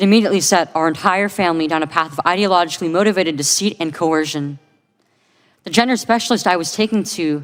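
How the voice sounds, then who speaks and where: A woman speaks at a very fast pace in a fairly low pitch, with ordinary pitch variation. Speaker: detransitioner giving testimony. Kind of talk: testimony.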